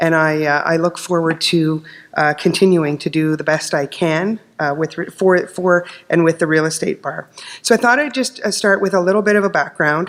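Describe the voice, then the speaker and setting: A woman speaks at a moderate pace in a fairly low pitch. Noticeable background noise can be heard. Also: ordinary pitch variation. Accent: Canadian. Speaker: lawyer, committee chair. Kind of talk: conference presentation.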